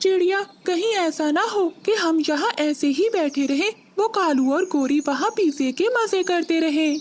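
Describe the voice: An extremely high-pitched, cartoonish character voice moves along at a moderate pace.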